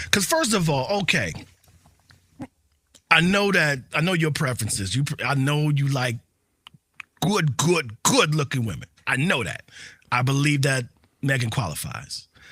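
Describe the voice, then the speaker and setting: A man with a bright, sharp tone and a fairly high pitch speaks at a moderate pace with lively intonation and long, frequent pauses. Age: 40s. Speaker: podcast co-host. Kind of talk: casual chat.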